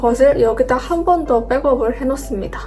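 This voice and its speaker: A woman speaks at a high pitch and a moderate pace. Noticeable background noise sits behind her. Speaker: office worker and video editor vlogger. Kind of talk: vlog narration. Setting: company dormitory room.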